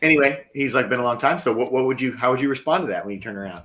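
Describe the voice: The clip is plain reading aloud. Its pitch moves in an ordinary way.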